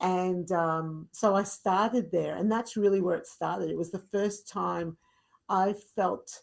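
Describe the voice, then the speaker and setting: A woman's medium-pitched voice with an Australian accent, fairly slow and fairly even in intonation, on a very clean recording with a silent background. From rural Victoria, Australia. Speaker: fitness instructor. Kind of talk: podcast interview.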